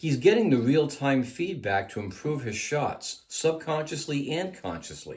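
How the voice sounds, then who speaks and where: A man speaks with a normal speaking voice, pitched fairly high. His intonation is lively. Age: 60s. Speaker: firearms instructor. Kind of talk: product review.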